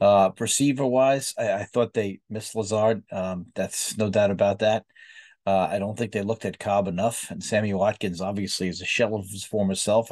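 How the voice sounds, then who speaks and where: At a fairly quick pace, a plain, everyday voice is heard in a dry, close sound with no echo and a quiet background. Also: man. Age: 50s. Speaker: sports podcast host. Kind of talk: casual sports commentary monologue.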